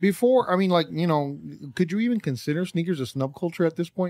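A man with an American accent speaks at a fairly quick pace, his high pitch carried by lively intonation. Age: 30s. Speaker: sneaker podcast co-host. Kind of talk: casual chat.

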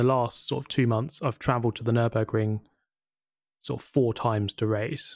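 Recorded very cleanly against a silent background, with a dry, close sound and no echo, a man speaks in an unremarkable speaking voice at a moderate pace, medium in pitch, with fairly even intonation. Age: 30s. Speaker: YouTuber and sim racer. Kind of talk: interview.

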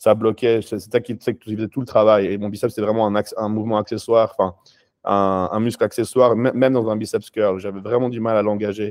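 Intonation stays monotone and flat. The man's pitch is fairly low. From France and Switzerland (Paris, then Switzerland 10-25). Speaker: professional bodybuilder. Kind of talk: interview.

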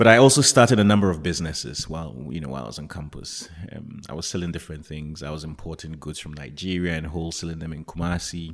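A man's very deep, low voice with vocal fry, a very fast pace, hardly any pauses, lively intonation and big swings in loudness. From Ghana. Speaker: telecom company CEO. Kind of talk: interview.

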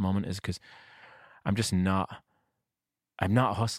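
A man with a northern English accent, fairly quick pace and fairly even intonation, in a dry, close sound with no echo and a very clean recording with a silent background. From northern England. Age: 40s. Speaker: singer-songwriter. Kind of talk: casual interview.

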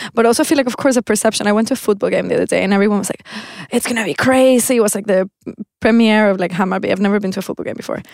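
Talking at a very fast pace in a Spanish accent, a woman has a fairly high pitch and ordinary pitch variation. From Venezuela. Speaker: textile designer. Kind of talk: casual chat.

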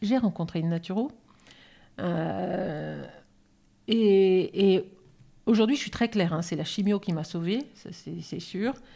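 A dark, mellow voice moves at a very slow pace with long, frequent pauses and ordinary pitch variation, on a very clean recording with a silent background. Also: woman, medium pitch for a woman. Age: 50s. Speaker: naturopath, cancer survivor. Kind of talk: casual chat.

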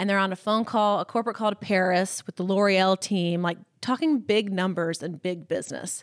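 Moderate pace and ordinary pitch variation in a Southern accent, with a dry, close sound, no echo, and a very clean recording over a silent background. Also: woman. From US South, Columbus, Mississippi. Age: 30s. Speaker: fashion influencer. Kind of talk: casual interview.

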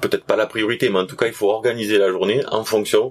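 A southern French accent against noticeable background noise. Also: man. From southern France. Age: 40s. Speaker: trail runner, history-geography teacher. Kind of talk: interview. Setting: at a race event in Canada.

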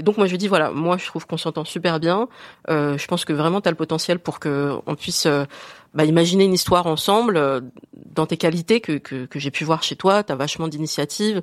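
In an unremarkable speaking voice, a woman talks at a fairly quick pace with a fairly low pitch and ordinary pitch variation, the sound dry and close with no echo. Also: very clean recording, silent background. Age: 40s. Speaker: woman asking a dating question. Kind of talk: casual chat.

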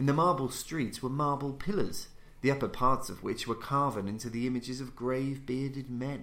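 It's an unremarkable speaking voice, delivered at a moderate pace. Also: man, medium pitch for a man. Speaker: audiobook narrator. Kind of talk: literary audiobook reading of a gothic horror story. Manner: formal, theatrical, ominous.

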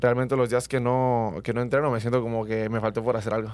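In a very clean recording with a silent background, a man speaks fairly quickly at a medium pitch with monotone, flat intonation. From Mexico, Michoacán. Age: 20s. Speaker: track athlete. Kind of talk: interview. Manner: halting.

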